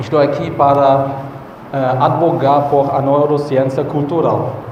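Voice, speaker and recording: A fairly high male voice at a fairly slow pace, with audible room echo and noticeable background noise. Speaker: conference speaker, neuroscientist. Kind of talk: conference talk. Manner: halting, with fillers.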